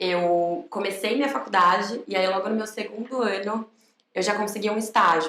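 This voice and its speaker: The pace of this woman's speech is moderate. Her voice sits at a medium pitch and varies in an ordinary way. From Brazil, São Paulo. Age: 20s. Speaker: recruitment manager and psychologist. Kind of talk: podcast interview. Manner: casual, conversational.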